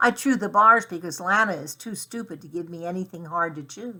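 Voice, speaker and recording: Putting on a character voice at a medium pitch, a woman uses ordinary pitch variation and big swings in loudness. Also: fairly quick pace. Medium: read story. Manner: impatient, grouchy.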